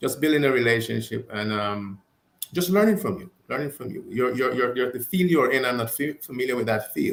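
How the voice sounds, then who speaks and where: A man with a strong non-native accent speaks at a medium pitch with lively intonation. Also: fairly quick pace. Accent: foreign accent, still strong. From abroad, foreign-born. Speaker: talk show guest. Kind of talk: casual chat. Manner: halting, repeats words.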